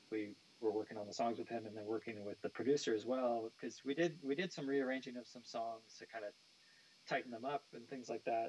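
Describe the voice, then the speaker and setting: A man with an American accent speaks at a fairly quick pace. His pitch varies in an ordinary way, while his loudness swings a lot. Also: medium pitch for a man. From California, US (San Jose). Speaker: nu metal bassist. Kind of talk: interview. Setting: live stream. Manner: casual, hesitant with many fillers.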